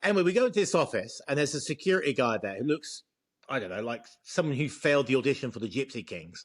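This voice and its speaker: Over a quiet background, a man speaks very fast at a fairly high pitch, his voice swinging very widely in pitch and showing vocal fry. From England. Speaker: expat video co-host. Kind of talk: casual chat. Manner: animated storytelling.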